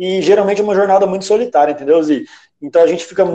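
This man's voice is high in pitch, with a dark, mellow tone. His pitch varies in an ordinary way. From Campo Grande, Mato Grosso do Sul, Brazil. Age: 20s. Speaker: writer. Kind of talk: casual chat.

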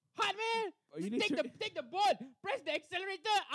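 Recorded dry and close with no echo, a woman with an Indian accent talks in very wide pitch swings. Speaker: podcast host acting as debate moderator. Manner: joking, playful.

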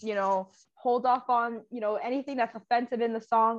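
A woman has an unremarkable speaking voice at a fairly high pitch. She talks at a moderate pace. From Canada. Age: 20s. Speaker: podcast guest, activist. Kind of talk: casual chat.

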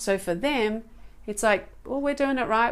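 A woman with an Australian accent. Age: 40s. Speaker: organic food advocate. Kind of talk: casual chat.

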